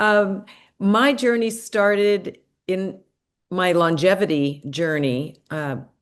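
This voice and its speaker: The intonation is lively, with an American accent. The background is quiet. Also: woman. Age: 60s. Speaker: gerontologist and longevity coach. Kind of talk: podcast interview. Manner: conversational.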